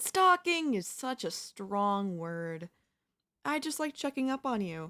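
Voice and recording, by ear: In a put-on character voice, a woman speaks slowly at medium pitch with big pitch swings and a bright, sharp tone, on a very clean recording with a silent background.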